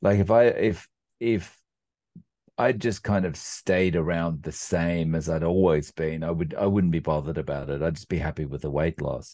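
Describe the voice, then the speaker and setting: Against a quiet background, a man with an Australian accent talks at a moderate pace in a very deep, low pitch, his tone dark and mellow and his pitch varying in an ordinary way. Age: 40s. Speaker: carnivore diet YouTuber. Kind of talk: casual interview. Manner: hesitant, many fillers.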